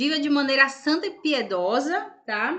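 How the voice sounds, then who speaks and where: A woman's high, raised, projected voice carries a bright, sharp tone. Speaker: religious video host. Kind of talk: casual religious talk to camera. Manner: halting.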